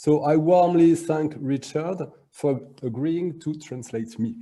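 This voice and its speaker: This man has a French accent and a fairly high pitch with a dark, mellow tone. He talks at a fairly slow pace, with ordinary pitch variation. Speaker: arts school director. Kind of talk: lecture.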